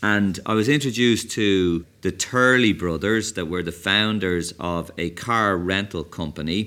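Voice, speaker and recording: A man with an Irish accent speaks fairly slowly in a very deep, low voice with a bright, sharp tone. The recording is very clean, with a silent background. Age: 50s. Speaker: tech entrepreneur. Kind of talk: interview. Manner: energetic.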